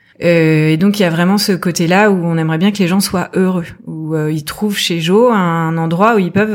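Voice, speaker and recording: Using a plain, everyday voice, a woman with a fairly low pitch talks at a moderate pace with fairly even intonation. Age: 40s. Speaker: entrepreneur, former health journalist. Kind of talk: casual interview.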